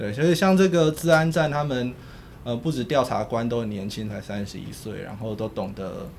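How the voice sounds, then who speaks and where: An unremarkable speaking voice moves at a moderate pace. Its intonation is lively, and its loudness swings widely. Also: man, medium pitch for a man. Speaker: political journalist. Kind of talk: casual chat.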